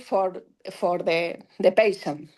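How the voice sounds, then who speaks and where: A woman talks very slowly in a Spanish accent. The background is quiet. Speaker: dentist, laser specialist. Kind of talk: lecture. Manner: halting.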